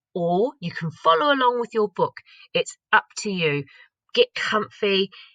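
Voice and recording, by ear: Reading aloud in a natural voice, lively intonation, quiet background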